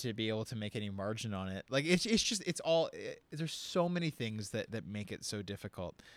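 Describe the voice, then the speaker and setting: Moving at a fairly quick pace, a man speaks in a medium pitch with very wide pitch swings. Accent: Canadian. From Windsor, Ontario, Canada. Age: 20s. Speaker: session guitarist. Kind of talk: casual chat. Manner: halting, many fillers and repetitions.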